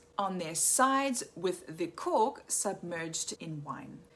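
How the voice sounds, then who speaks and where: Over noticeable background noise, a woman talks at a very slow pace, her pitch swinging very widely. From South Africa. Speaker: wine educator. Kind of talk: scripted narration.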